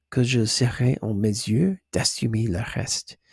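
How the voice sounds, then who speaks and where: A man speaks at a very slow pace, somewhat breathy, with a dark, mellow tone. The recording is very clean, with a silent background and a dry, close sound with no echo. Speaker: ASMR creator. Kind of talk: ASMR book reading. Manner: hesitant, stumbling, soft.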